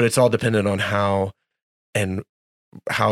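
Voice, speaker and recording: A man talks at a fairly quick pace in a fairly low voice. The sound is dry and close with no echo, on a very clean recording with a silent background. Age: 40s. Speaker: worship leader and co-author. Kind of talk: casual chat.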